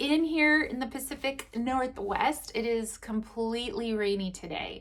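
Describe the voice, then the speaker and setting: A woman's high-pitched voice with lively intonation, over noticeable background noise. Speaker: journaling YouTuber. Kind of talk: casual vlog talk. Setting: at home by a window.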